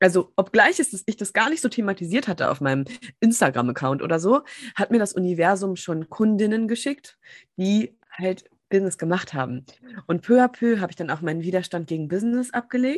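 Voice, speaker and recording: A woman's medium-pitched voice at a fairly quick pace with very wide pitch swings, dry and close with no echo. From Germany, small town. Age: 30s. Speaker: business and empowerment coach. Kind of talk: casual interview. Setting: video call.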